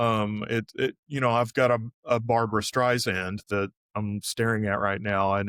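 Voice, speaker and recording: The recording is very clean, with a silent background and a dry, close sound with no echo. The speaker has an American accent and fairly even intonation. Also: man. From Texas, Arlington (Dallas area). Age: 60s. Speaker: artist. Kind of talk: interview. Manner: halting, many fillers and restarts.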